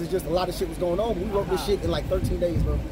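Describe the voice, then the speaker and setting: A man talking at a very fast pace, with a dry sound free of echo and noticeable background noise. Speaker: battle rapper. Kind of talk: casual chat. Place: car. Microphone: camera far.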